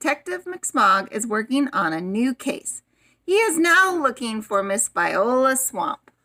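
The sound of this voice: The clip has an unforced reading voice set against a quiet background.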